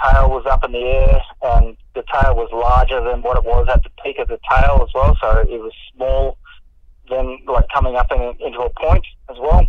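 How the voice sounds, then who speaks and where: Speaking in an Australian accent, a man shows big swings in loudness. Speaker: mountain bike rider. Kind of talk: interview answer. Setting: phone line. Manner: casual, hesitant.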